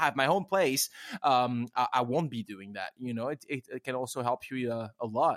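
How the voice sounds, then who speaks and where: Fairly quick speech in a French accent, with ordinary pitch variation. Dry and close, with no echo. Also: man. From France. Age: 30s. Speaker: podcast host and cafe owner. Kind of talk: casual interview chat. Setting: remote recording from home. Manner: fast when excited.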